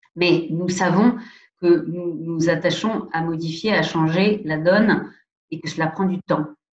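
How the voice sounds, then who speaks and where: Very slow delivery with fairly even intonation and audible room echo. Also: woman, fairly low pitch for a woman. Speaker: president of a national anti-abuse commission. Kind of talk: lecture. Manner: hesitant, many fillers.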